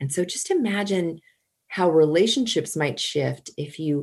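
Against a quiet background, a woman speaks at a fairly slow pace in an unremarkable speaking voice. Her pitch is fairly low and her intonation lively. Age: 50s. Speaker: parenting coach. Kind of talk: interview.

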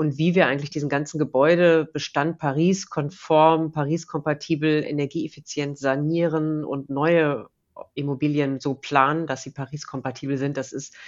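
Fairly even intonation from a woman with a very deep, low voice, moderately paced. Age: 40s. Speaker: pension fund executive. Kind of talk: interview.

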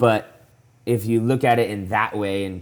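In a normal speaking voice, a man talks at a fairly slow pace with a fairly low pitch and fairly even intonation. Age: 20s. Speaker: professional CrossFit athlete. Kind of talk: casual interview chat. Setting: remote call from home.

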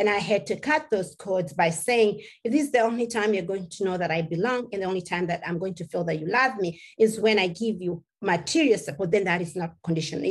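A woman speaks at a fairly quick pace in a medium pitch, her somewhat breathy voice carrying lively intonation. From Kenya. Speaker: survivor and activist speaker. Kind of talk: testimony.

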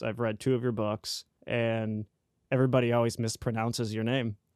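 A man speaks at a medium pitch against a quiet background. The sound is dry and close, with no echo. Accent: American. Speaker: podcast host. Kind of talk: casual interview chat.

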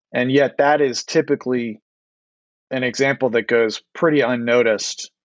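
This man has a plain, everyday voice of medium pitch with an American accent. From US, DC suburbs. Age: 40s. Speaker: author. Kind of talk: interview.

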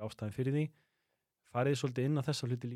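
A man speaks at medium pitch with ordinary pitch variation. His tone is dark and mellow. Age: 40s. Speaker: podcast host. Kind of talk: casual chat.

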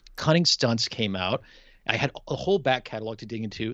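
A man with an American accent uses an ordinary speaking voice, his pitch moving in an ordinary way. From Milwaukee, Wisconsin, US Midwest. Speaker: pun competition champion. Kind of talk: casual chat.

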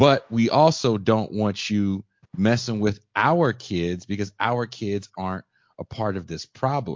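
With a normal speaking voice, a man speaks at a fairly slow pace and a fairly low pitch, with ordinary pitch variation. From Richmond, California. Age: 40s. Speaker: podcast host. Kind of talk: interview.

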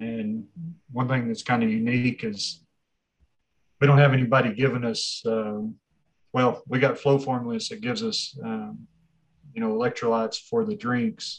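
A man with a West Texas accent speaks at a moderate pace and medium pitch. His intonation is fairly even, and he leaves long, frequent pauses. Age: 40s. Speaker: race director. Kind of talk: casual interview.

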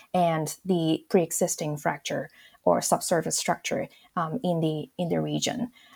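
Dark and mellow, a woman's fairly low voice moves at a moderate pace with ordinary pitch variation. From Hong Kong. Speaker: earth sciences professor. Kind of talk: interview. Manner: halting.

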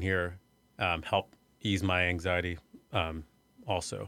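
A man speaks at a fairly slow pace in a very deep, low voice with a bright, sharp tone. The recording is very clean, with a silent background. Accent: American. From US Midwest (Iowa). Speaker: arts center executive director. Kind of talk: interview. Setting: studio.

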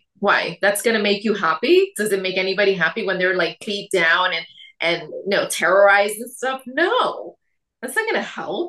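A woman speaks in an unremarkable speaking voice at a medium pitch for a woman. Her pace is moderate and her pitch variation ordinary. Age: 40s. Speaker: weight loss coach. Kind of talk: casual chat.

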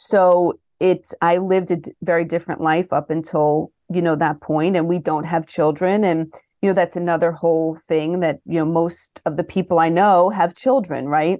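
A woman's normal speaking voice at a moderate pace, with fairly even intonation, a dry, close sound with no echo and a quiet background. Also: fairly low pitch for a woman. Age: 40s. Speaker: pediatric nurse and health coach. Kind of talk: casual interview.

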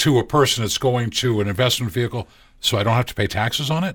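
A man with a normal speaking voice, medium pitch and ordinary pitch variation, in a very clean recording against a silent background. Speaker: co-host, lay person asking questions. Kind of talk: casual banter with interview. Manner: joking, playful.

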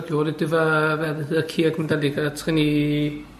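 A man with a fairly high pitch speaks at a fairly slow pace. Noticeable background noise and audible room echo surround him. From Denmark. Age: 50s. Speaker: interviewee living in Israel. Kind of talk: casual interview. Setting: apartment. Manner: halting, with repetitions and fillers.

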